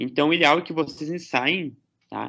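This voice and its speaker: At a moderate pace, a man with an unremarkable speaking voice talks in a fairly high pitch. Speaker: lecturer. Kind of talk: lecture.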